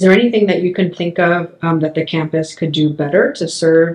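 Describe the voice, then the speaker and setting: Fairly quick and with ordinary pitch variation, a woman talks at a fairly low pitch in a plain, everyday voice. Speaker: history professor. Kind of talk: oral history interview. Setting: in person.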